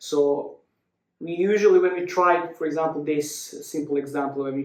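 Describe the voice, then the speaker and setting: Pitched high, a man's voice carries a non-native accent. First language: not English. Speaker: movement and mobility coach. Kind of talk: follow-along exercise tutorial. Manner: halting, many fillers.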